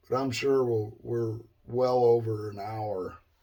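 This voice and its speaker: The man has a medium pitch and a dark, mellow, somewhat breathy tone. He speaks with monotone, flat intonation. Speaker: guitar builder. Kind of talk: tutorial. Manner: casual, hesitant.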